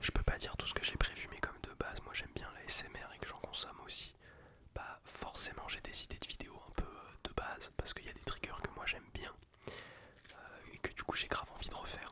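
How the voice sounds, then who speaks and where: A whispering voice comes through over noticeable noise in the background. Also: man. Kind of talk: ASMR casual talk to camera. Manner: whispered; casual, slangy.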